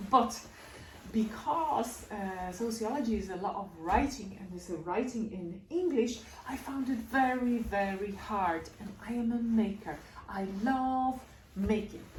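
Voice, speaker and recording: With a Polish accent, a woman speaks at a fairly high pitch and fairly slow pace with ordinary pitch variation and big swings in loudness, and audible room echo is present. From Poland. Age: 30s. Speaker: feltmaker and scarf designer. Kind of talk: casual talk to camera, Q&A. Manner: hesitant, with fillers.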